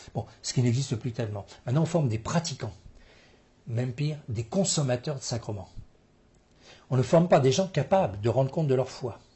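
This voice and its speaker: This man has a medium pitch and a somewhat breathy voice, talking at a fairly quick pace with lively intonation and long, frequent pauses. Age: 70s. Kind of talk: interview.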